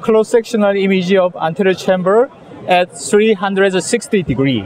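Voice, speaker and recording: A man with a Korean accent speaks at a moderate pace and a high pitch, with crowd noise in the background. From South Korea. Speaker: eye surgeon. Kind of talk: lecture. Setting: conference booth with audience. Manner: halting.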